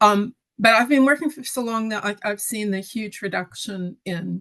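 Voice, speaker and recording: The woman uses an ordinary speaking voice, moving at a fairly slow pace, her pitch varying in an ordinary way. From Western Canada. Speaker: council planner. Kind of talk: online panel discussion.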